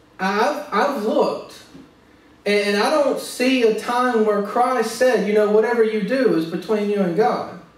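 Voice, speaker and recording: A man with an American accent talks at a fairly slow pace in a high pitch with ordinary pitch variation. Noticeable background noise can be heard. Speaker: pastor / preacher. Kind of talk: sermon preaching to a congregation.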